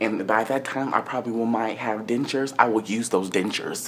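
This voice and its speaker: A man's animated voice at medium pitch and moderate pace, with light background noise. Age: 20s. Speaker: vlogger. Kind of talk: casual vlog rant. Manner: sassy, exasperated. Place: home room. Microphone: phone near.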